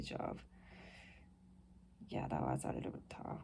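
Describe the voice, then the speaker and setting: A woman with a Japanese accent speaks amid audible room echo. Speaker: vlogger. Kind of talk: casual monologue. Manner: halting.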